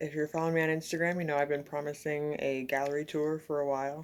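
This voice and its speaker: A woman talks fairly quickly at a very deep, low pitch in a monotone, flat delivery. The recording is very clean, with a silent background. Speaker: painter. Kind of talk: casual chat.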